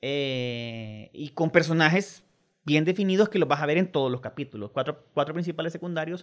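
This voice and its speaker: With a Salvadoran accent, a man talks at a moderate pace with a fairly high pitch and very wide pitch swings. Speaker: film director. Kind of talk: radio interview.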